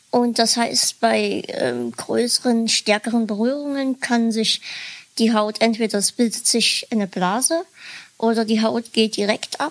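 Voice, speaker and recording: This woman's fairly high voice moves at a fairly slow pace with fairly even intonation, recorded dry and close with no echo. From Dresden, Saxony. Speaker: podcaster. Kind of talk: casual podcast interview.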